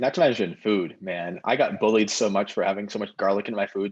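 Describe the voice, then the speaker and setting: A man's voice with a fairly low pitch. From Ohio, Cleveland. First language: Ukrainian. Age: 20s. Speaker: medical student. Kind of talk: casual chat.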